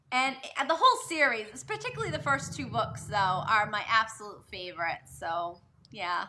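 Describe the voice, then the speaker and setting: With a slight Boston accent, a woman speaks in a fairly high pitch. Her pitch swings very widely at a moderate pace. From Massachusetts, Boston area. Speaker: novelist. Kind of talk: live video chat interview. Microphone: quieter, more distant.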